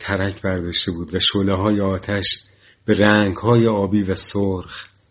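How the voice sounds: A voice reading naturally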